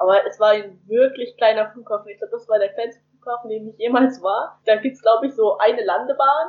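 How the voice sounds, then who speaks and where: A woman with a normal speaking voice talks fairly quickly at a fairly high pitch, with ordinary pitch variation and big swings in loudness. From northern Germany, near Hamburg. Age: young. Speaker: volunteer returning from abroad. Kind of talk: interview. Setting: remote call from home.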